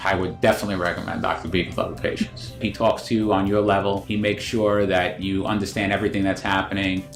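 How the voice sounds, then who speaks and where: With music in the background, a man with a fairly low pitch talks at a very fast pace with hardly any pauses. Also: ordinary pitch variation. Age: 50s. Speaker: knee replacement patient. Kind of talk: patient testimonial.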